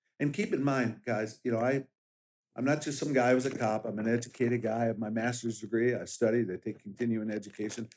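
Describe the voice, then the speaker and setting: A man speaks at a fairly quick pace in a plain, everyday voice. His pitch is medium and his intonation fairly even. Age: 60s. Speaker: sheriff candidate and police officer. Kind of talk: interview.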